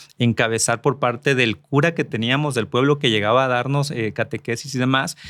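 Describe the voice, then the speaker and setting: Recorded very cleanly with a silent background, a man speaks at a moderate pace. His pitch is medium, with ordinary variation. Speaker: politician and journalist. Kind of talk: podcast interview.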